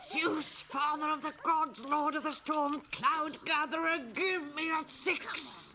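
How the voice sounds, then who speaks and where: A put-on character voice, high, shrill and raspy, moves at a fairly slow pace with hardly any pauses. Clear background noise runs underneath. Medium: short film. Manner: shrill, grasping.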